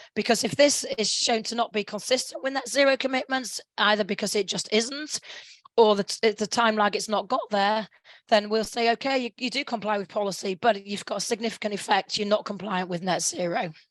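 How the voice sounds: In a put-on character voice, a woman talks at a fairly quick pace, her fairly high pitch sounding hoarse and croaky.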